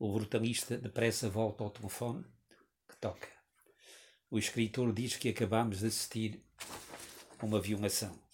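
A man with a medium pitch sounds somewhat breathy and keeps his intonation fairly even. He leaves long, frequent pauses. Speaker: writer. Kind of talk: reading aloud. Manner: slow.

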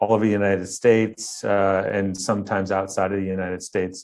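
Against a quiet background, a man with a Midwestern American accent talks at a moderate pace in a fairly low voice. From Ohio, near Cleveland. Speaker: architect. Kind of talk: interview. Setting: remote interview from studio.

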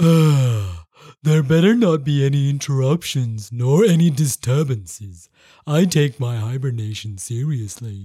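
A man speaks at a fairly slow pace in a put-on character voice of medium pitch. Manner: sleepy, growling.

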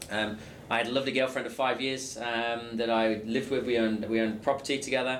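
A man talks at a very fast pace in a medium pitch. His intonation is monotone and flat, with noticeable background noise. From England. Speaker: sales coach. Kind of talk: interview.

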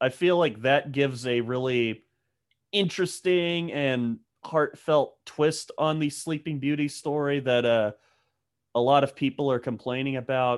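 On a very clean recording with a silent background, a man with a slight Southern US accent talks at a fairly slow pace with lively intonation. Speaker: film podcast guest. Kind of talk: casual chat.

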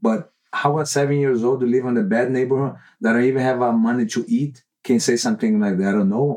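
Speaking at a moderate pace, a man uses a medium pitch and a dark, mellow tone with ordinary pitch variation. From Brazil. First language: Portuguese. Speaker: jiu-jitsu professor and gym owner. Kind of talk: casual interview.

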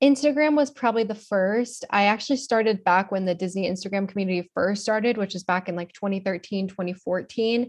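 An unremarkable speaking voice with an American accent moves at a fairly quick pace with hardly any pauses and ordinary pitch variation. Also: woman, medium pitch for a woman. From South Florida (Miami, West Palm Beach). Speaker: social media influencer and theme park worker. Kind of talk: casual interview chat. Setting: virtual recording.

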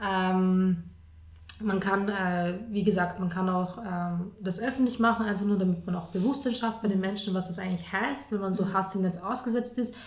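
A woman at medium pitch, moderate pace and fairly even intonation, with audible room echo and noticeable background noise. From Austria, Lower Austria. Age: 20s. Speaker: journalist and columnist. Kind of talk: interview.

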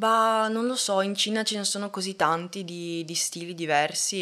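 Speaking at a very slow pace, a woman with a bright, sharp tone keeps her intonation fairly even on a very clean recording with a silent background. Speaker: film student. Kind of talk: interview. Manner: halting.

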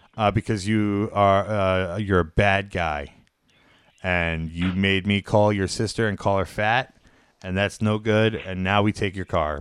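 A man with an unremarkable speaking voice talks fairly slowly at a fairly low pitch, his intonation fairly even. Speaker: livestream comedy show host. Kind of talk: casual comedic livestream banter. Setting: live stream. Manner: loud, joking, profane.

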